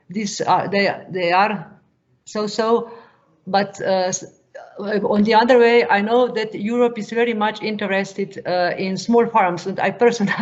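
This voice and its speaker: At a fairly slow pace, a woman with a Slovenian accent speaks at medium pitch with fairly even intonation. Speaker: farm advisor. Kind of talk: question in webinar Q&A. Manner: halting, many hesitations.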